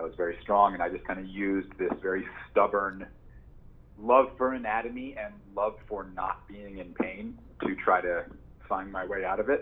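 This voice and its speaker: A man uses a normal speaking voice, pitched fairly low, keeping a moderate pace and fairly even intonation. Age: 30s. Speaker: chiropractor and exercise method founder. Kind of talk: interview.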